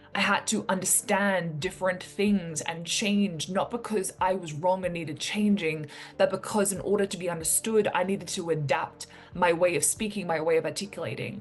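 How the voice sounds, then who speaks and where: A woman talks at a moderate pace with fairly even intonation. Music plays in the background. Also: medium pitch for a woman. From New Zealand, rural town, then abroad. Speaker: entrepreneur and motivational vlogger. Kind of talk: motivational talk to camera. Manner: casual, conversational with fillers.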